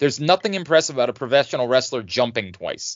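In an animated tone with vocal fry, a man speaks at a very fast pace. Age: 40s. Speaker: wrestling podcast host. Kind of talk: casual chat.

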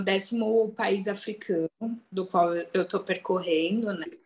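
In an unremarkable speaking voice, a woman talks fairly slowly at medium pitch with ordinary pitch variation. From Brazil. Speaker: travel writer. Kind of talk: interview.

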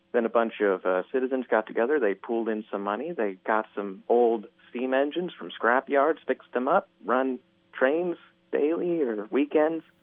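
A man with an American accent has a plain, everyday voice at medium pitch. He speaks at a moderate pace with lively intonation. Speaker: radio caller. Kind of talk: casual chat. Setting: phone call.

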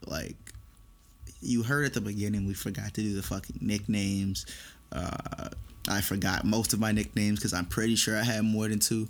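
Using a normal speaking voice, a man talks at a fairly quick pace and fairly low pitch, with ordinary pitch variation. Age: 20s. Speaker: college student podcast co-host. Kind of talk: casual chat.

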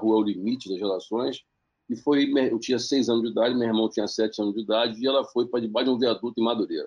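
This man talks at a very fast pace. His medium-pitched voice keeps a fairly even intonation. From Baixada Fluminense, Rio de Janeiro, Brazil. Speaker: social entrepreneur and investor. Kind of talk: interview.

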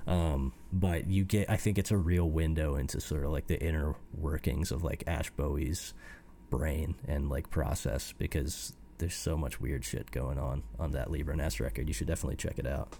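A man with an American accent speaks at a moderate pace with a very deep, low pitch, ordinary pitch variation and vocal fry. His tone is dark and mellow, in a very clean recording with a silent background. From US Midwest, Fort Wayne, Indiana. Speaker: musician. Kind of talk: casual chat. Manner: halting, frequent fillers and repeats.

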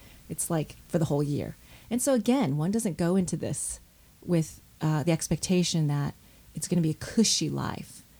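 At a moderate pace, a woman speaks with lively intonation and a somewhat breathy, dark, mellow tone at a fairly low pitch. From US Midwest, Detroit suburbs (Michigan). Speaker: seminary professor. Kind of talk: interview.

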